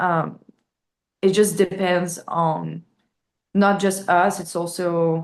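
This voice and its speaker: In a French accent, a woman speaks very slowly at a fairly low pitch with monotone, flat intonation. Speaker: metal band vocalist. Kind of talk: interview. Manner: halting, many fillers.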